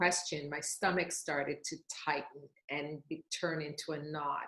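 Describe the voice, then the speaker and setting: A woman is speaking. Her pace is fairly slow. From Jamaica. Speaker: costume designer. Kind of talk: panel discussion. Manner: loud, expressive.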